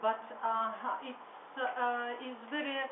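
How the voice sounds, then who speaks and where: With audible room echo, a woman speaks at a high pitch with a Russian accent. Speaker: workshop participant. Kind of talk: impromptu speech. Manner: halting, many hesitations.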